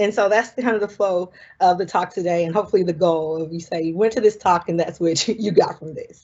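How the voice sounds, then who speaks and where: Talking at a very fast pace with hardly any pauses, a woman with a Southern US accent keeps a medium pitch and ordinary pitch variation. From US South, South Carolina. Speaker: marine scientist. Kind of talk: lecture. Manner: casual, many fillers.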